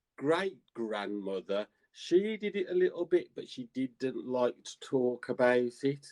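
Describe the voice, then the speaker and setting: Speaking at a very slow pace with a Birmingham accent, the voice comes through dry and close, with no echo at all. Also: man. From England, Birmingham. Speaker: psychic and tarot reader. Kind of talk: interview. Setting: live stream. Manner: halting.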